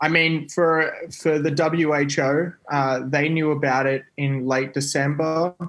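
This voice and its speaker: Speaking at a fairly slow pace with an Australian accent, a man keeps a fairly high pitch, very even loudness and monotone, flat intonation. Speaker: scientist. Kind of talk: casual chat. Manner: halting.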